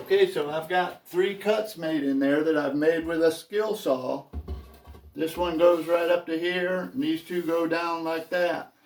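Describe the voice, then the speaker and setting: Over music in the background, a man speaks with a high pitch and fairly even intonation. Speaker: woodworker. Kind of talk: tutorial.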